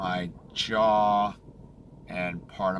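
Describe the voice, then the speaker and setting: A man with an American accent speaks in a monotone, flat way over noticeable background noise. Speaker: throat cancer survivor vlogger. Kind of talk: casual video diary. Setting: in a car.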